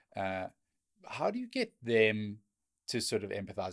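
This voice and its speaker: In a very clean recording with a silent background, a man talks at a moderate pace and medium pitch. He has a plain, everyday voice. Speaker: podcast host. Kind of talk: casual interview. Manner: casual, self-deprecating.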